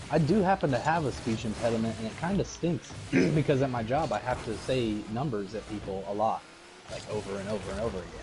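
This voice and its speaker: A man speaks at a very fast pace with a medium pitch and lively intonation over noticeable background noise. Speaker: gamer streamer. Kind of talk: casual chat. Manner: trouble pronouncing T's.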